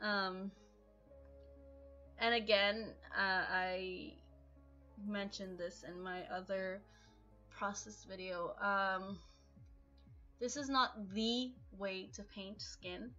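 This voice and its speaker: With music in the background, a woman speaks very slowly at medium pitch and ordinary pitch variation. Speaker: digital artist. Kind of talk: voice-over narration for art tutorial. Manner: hesitant, casual.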